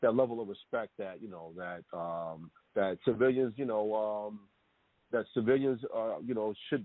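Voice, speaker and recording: This man's voice sits at a fairly low pitch with ordinary pitch variation. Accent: American. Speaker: retired police detective, now chef. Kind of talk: interview. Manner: fast; halting, many fillers.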